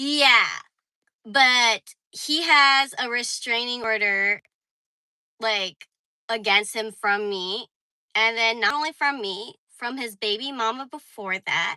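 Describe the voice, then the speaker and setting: Very slowly, with long, frequent pauses, a woman speaks in a fairly high voice with a bright, sharp tone and ordinary pitch variation. The recording sounds dry and close, with no echo. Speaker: livestreamer. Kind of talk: casual chat.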